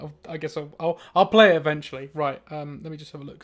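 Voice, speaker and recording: Speaking very fast with a British accent, a man keeps his fairly high voice at a fairly even intonation on a very clean recording with a silent background. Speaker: artist streaming live drawing. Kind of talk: casual livestream chat. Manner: loud; mumbly when working.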